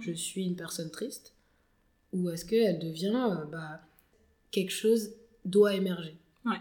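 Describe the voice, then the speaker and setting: Somewhat breathy and dark, mellow in tone, a woman speaks at a fairly slow pace with ordinary pitch variation. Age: 20s. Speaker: founder of a social enterprise on soft skills. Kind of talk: podcast interview. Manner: hesitant, many fillers.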